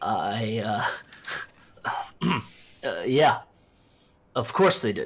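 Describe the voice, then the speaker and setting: A man's raspy, put-on character voice, very slow, with long, frequent pauses. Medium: audio drama. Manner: anxious, hesitant.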